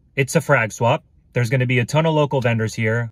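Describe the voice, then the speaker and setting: A man talks with ordinary pitch variation. The sound is dry with no echo, over a quiet background. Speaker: hobby vlogger. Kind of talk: casual vlog chat. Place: car. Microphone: phone near.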